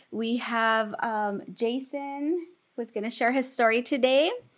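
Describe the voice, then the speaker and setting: Pitched high, a woman speaks at a fairly slow pace. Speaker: podcast co-host. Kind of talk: casual chat.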